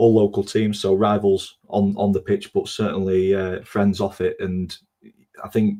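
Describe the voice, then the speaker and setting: With a Yorkshire accent, a man speaks in a fairly low pitch and a dark, mellow tone, his intonation monotone and flat. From Doncaster, South Yorkshire. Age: 20s. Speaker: football podcast host. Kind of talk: casual chat.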